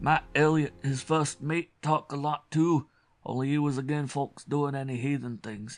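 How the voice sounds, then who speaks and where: A man puts on a character voice with a New England accent, fairly high and wheezy. He keeps a moderate pace and fairly even intonation. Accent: old rural New England dialect. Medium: read story. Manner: rambling, secretive, colloquial.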